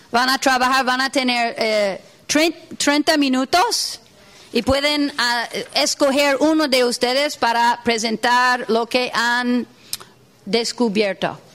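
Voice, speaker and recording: Speaking very slowly with a non-native accent, a woman uses a high pitch, ordinary pitch variation and very even loudness over noticeable background noise. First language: not Spanish (speaking Spanish). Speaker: workshop facilitator. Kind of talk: workshop lecture. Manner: halting, many fillers.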